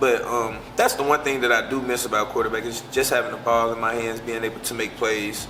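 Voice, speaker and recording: With hardly any pauses, a man talks at a fairly quick pace in a medium-pitched, monotone, flat voice, with noticeable background noise and audible room echo. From US South, Pine Bluff, Arkansas. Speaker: college football player. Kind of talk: interview. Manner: casual.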